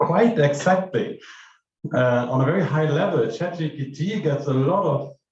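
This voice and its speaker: This man has a fairly high voice and a German accent. Audible room echo surrounds his speech. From Germany. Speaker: AI researcher. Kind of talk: conference keynote. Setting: stage with audience.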